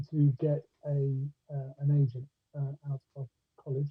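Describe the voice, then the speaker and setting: The speaker is a man with a fairly high pitch. His voice comes across somewhat breathy. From Scotland, Ayrshire, west coast. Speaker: actor and director. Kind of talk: casual interview chat. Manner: hesitant, many fillers.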